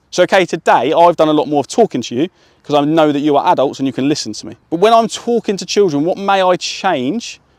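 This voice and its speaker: A man's high voice in a British accent, very fast and lively in intonation, with a dry, close sound, no echo, and a very clean recording against a silent background. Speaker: sports coach trainer. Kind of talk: coaching workshop to adults.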